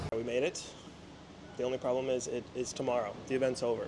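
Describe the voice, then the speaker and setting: A man speaking at a fairly quick pace over noticeable background noise. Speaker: pin trading vlogger. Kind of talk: casual vlog narration.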